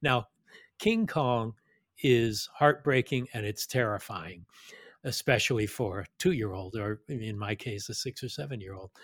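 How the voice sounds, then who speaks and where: A man speaks at a fairly slow pace in an unremarkable speaking voice, medium-pitched with ordinary pitch variation. The sound is dry and close, with no echo. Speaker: film director and podcaster. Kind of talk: casual interview chat.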